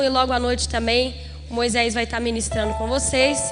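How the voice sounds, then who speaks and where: A woman talks at a fairly quick pace. Room echo and noticeable background noise can be heard. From Brazil, Minas Gerais. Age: 20s. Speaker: preacher. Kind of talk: sermon. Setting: church conference with audience.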